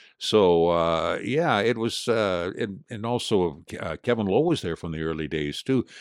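A man's fairly low voice, an ordinary speaking voice, with lively intonation and hardly any pauses against a quiet background. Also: fairly slow pace. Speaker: retired hockey radio broadcaster. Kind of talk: casual interview chat with storytelling. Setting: podcast studio, in person. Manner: relaxed, chatty, amused.

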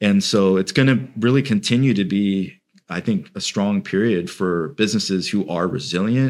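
A man in a plain, everyday voice speaks with an American accent at a moderate pace, his fairly low pitch showing ordinary pitch variation on a very clean recording with a silent background. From UK childhood, then Central Florida. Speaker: wealth manager. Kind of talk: interview.

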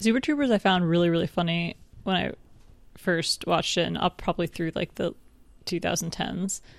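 A woman with an American accent has a plain, everyday voice, fairly low in pitch with ordinary pitch variation, speaking at a fairly quick pace in a dry, close sound with no echo and a very clean recording, silent background. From New York State. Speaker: podcast co-host. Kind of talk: casual chat. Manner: joking, bantering.

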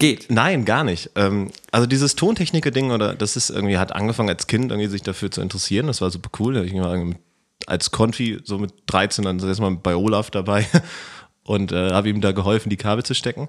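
The speaker moves at a fairly quick pace with ordinary pitch variation. The background is quiet. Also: man, fairly low pitch for a man. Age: 20s. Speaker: computer science student and event technician. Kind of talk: casual chat.

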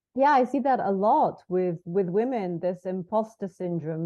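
A woman's dark, mellow, fairly low voice with lively intonation against a quiet background. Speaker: podcast host. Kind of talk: casual interview chat. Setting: video call.

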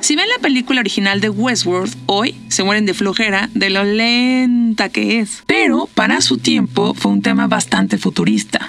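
Over noticeable background noise, a woman with a Mexican accent speaks at a fairly slow pace and very even loudness. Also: hardly any pauses. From Mexico. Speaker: podcast host. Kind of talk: casual monologue. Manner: animated.

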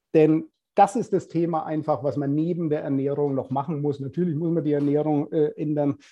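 A man speaks at a fairly quick pace in an unremarkable speaking voice, fairly high in pitch, with fairly even intonation. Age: 50s. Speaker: personal trainer. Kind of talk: casual interview.

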